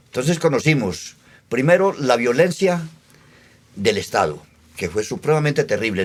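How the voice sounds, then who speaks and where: Here a man talks at a moderate pace. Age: 70s. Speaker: elderly local witness. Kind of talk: oral history testimony.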